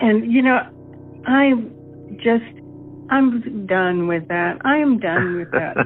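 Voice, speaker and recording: Against music in the background, a woman with a fairly high pitch and lively intonation speaks at a very slow pace, with long, frequent pauses. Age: 70s. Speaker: stroke survivor with aphasia. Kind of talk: interview. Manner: halting, repetitive.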